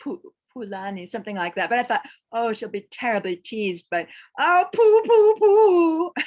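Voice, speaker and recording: A woman talks in a high voice at a moderate pace. Her pitch swings very widely. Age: 60s. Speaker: ayurveda doula. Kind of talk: webinar Q&A talk. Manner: halting.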